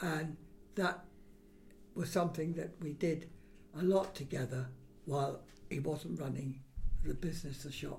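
A man speaks at a fairly slow pace in a fairly high pitch, with vocal fry. His pitch variation is ordinary. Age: 80s+. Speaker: grandfather recalling his childhood. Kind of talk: casual family interview.

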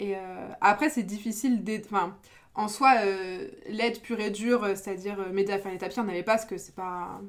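Her loudness swings widely while her intonation stays fairly even. This woman talks at a fairly quick pace and a medium pitch. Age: 20s. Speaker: small business owner. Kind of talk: casual chat. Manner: halting.

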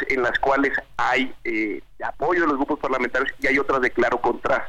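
The man speaks at a moderate pace. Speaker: legislator. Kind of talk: interview.

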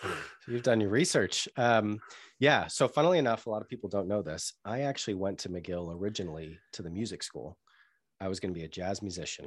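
An unremarkable speaking voice from a man with an American accent, fairly low in pitch, at a fairly quick pace with ordinary pitch variation over a quiet background. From US Northeast, Boston area. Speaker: marketing agency founder and CEO. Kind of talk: interview conversation.

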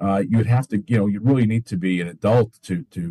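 A man with a dark, mellow tone and somewhat breathy voice talks at a moderate pace with lively intonation. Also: dry, close sound with no echo. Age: 50s. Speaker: attorney. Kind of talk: interview. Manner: halting, many fillers.

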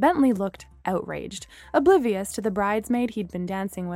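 Text is read out loud in a voice that sounds natural.

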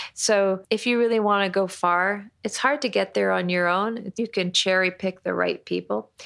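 In an unremarkable speaking voice, a woman talks at a moderate pace and medium pitch with fairly even intonation, very even loudness and hardly any pauses, on a very clean recording with a silent background. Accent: Canadian. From Canada, Toronto. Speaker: restaurant and juice bar owner. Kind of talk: casual chat.

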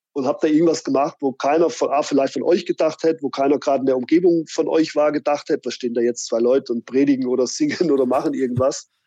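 A man with a fairly high pitch and a dark, mellow tone at a very fast pace, hardly any pauses, fairly even intonation, and a dry, close sound with no echo. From Fulda, Hesse (Rhön), Germany. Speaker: hobbyist, motorcyclist. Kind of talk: casual chat.

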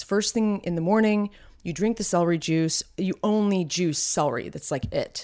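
At a moderate pace, a woman speaks in a fairly low pitch with ordinary variation and a dark, mellow tone, on a very clean recording with a silent background. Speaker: podcast co-host. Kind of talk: casual chat. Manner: vocal fry.

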